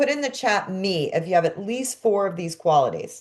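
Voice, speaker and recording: Speaking in a Brooklyn accent, a woman sounds animated, with lively intonation. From New York, Brooklyn. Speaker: coach and course teacher. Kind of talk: online class.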